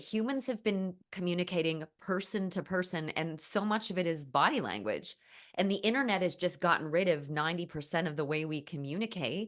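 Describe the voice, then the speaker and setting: A woman with an American accent, fairly quick in pace, with lively intonation. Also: quiet background. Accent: slight Canadian, sounds more Midwest. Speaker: painter and writer. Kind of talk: casual chat.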